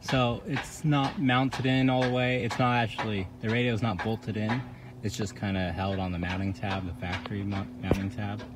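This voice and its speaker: A man at a moderate pace, with ordinary pitch variation, dry sound with no echo, and noticeable background noise. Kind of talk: tutorial. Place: car.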